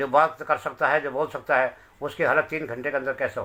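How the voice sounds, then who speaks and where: Bright and sharp in tone, this voice keeps to a moderate pace. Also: man. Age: 60s. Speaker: bereaved father. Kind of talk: testimony.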